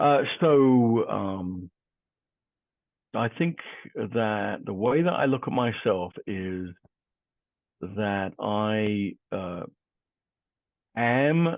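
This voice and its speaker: Very slow, fairly low-pitched male speech with lively intonation and long, frequent pauses. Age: 60s. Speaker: divorce coach. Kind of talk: interview. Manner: halting with fillers.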